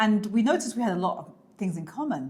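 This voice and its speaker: A woman with a British accent, somewhat breathy, animated in tone, with lively intonation at a fairly quick pace. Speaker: lifestyle vlogger. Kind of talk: casual chat.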